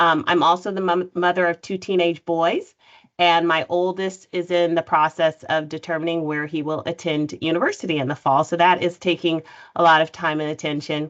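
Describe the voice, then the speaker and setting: In an American accent, a woman talks at a moderate pace with a fairly low pitch and monotone, flat intonation against a quiet background. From California, US. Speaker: nonprofit CEO, panelist. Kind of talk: panel discussion introduction. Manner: frequent fillers (um).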